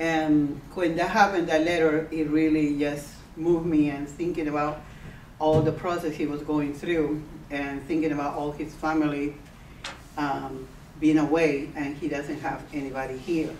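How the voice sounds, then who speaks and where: A woman with a Spanish accent speaks at a moderate pace in a very deep, low, monotone, flat voice, with audible room echo and noticeable background noise. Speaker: radio host. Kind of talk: interview.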